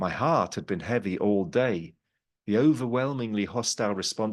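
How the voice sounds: A natural reading voice with ordinary pitch variation, set against a quiet background.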